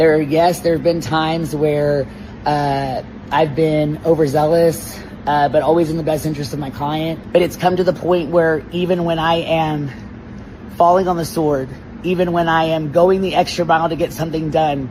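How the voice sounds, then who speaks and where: Noticeable background noise and audible room echo surround a man whose fairly high voice keeps a fairly even intonation. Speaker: attorney. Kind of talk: interview. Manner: loud; hesitant with fillers.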